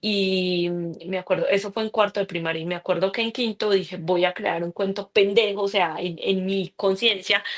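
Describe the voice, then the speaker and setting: A woman with a paisa accent speaks at a moderate pace in a medium pitch with flat, monotone intonation. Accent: Colombian Spanish (paisa region). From Colombia, Pensilvania, Caldas. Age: 30s. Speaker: author. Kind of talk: interview.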